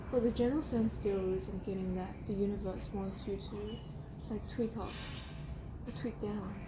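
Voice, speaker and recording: Against noticeable background noise, a woman speaks at a moderate pace. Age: 20s. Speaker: tarot reader. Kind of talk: tarot reading. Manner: casual, rambling. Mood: calm, reflective. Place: garden. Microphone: camera far.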